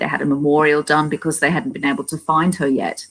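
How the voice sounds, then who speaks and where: A woman talks very fast in an Australian accent. Her voice is very deep and low, with fairly even intonation. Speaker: paranormal investigator. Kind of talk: casual chat. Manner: halting, many fillers and repeats.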